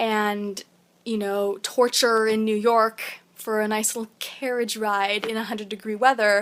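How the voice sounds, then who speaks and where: A woman talks at a fairly slow pace in a fairly high-pitched voice. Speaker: vegan vlogger. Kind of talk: opinion vlog monologue.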